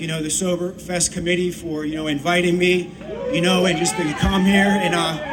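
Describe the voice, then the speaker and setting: Amid noticeable background noise and audible room echo, a man with an American accent speaks fairly quickly at a high pitch with fairly even intonation. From Pittsburgh, Pennsylvania. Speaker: rapper. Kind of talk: stage talk to audience. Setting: outdoor festival stage with audience. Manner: halting, many fillers.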